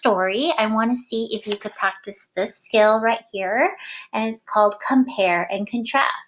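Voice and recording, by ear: Quiet surroundings frame someone reading aloud in a natural voice.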